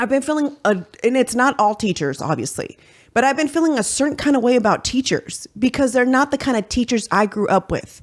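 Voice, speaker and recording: Her loudness very even, a woman talks in an animated tone at a high pitch. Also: lively intonation, fairly quick pace. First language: Spanish. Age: 40s. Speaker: podcast host. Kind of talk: casual chat.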